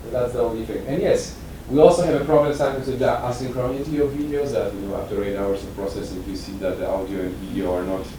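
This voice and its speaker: Someone talks at a very fast pace with lively intonation. Audible room echo and noticeable background noise fill the recording. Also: man. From Poland. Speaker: transparency activist presenting at a conference. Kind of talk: conference session presentation with Q&A. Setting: conference room with audience. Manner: halting, with many repetitions and fillers.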